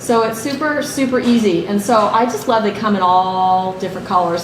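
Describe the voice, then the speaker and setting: Animated and with lively intonation, a woman talks fairly quickly amid noticeable background noise and audible room echo. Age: 60s. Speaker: health educator. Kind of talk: workshop talk.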